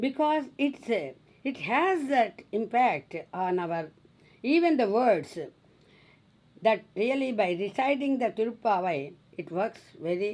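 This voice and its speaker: Speaking very slowly in a Telugu accent, the voice swings very widely in pitch. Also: woman. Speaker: spiritual teacher. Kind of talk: religious discourse.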